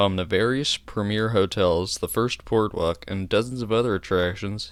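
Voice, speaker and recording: In a very clean recording with a silent background, a man with an American accent has a plain, everyday voice, pitched fairly low, speaking at a moderate pace with fairly even intonation. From New Jersey. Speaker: amateur railroad history narrator. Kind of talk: history narration voiceover. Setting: low-quality home microphone.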